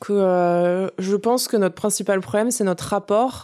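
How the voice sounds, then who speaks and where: A woman's dark, mellow voice with fairly even intonation, on a very clean recording with a silent background. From Paris suburbs, Essonne. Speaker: farmer and environmental activist. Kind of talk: casual interview conversation.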